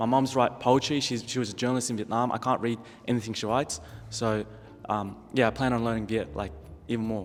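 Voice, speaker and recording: A man with an Australian accent at a medium pitch and a very fast pace, his intonation fairly even. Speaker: panel guest. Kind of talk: casual discussion.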